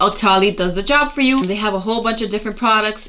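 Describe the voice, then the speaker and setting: A woman's loud voice sits at a fairly high pitch, bright and sharp in tone, with ordinary pitch variation. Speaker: beauty youtuber. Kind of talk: tutorial. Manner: casual chatty.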